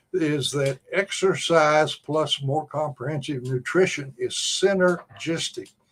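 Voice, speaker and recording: A somewhat breathy man's voice, fairly high in pitch, with fairly even intonation and a fairly slow pace. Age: 80s+. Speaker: health researcher promoting aloe nutritional supplement. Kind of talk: interview explanation. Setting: video call. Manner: halting.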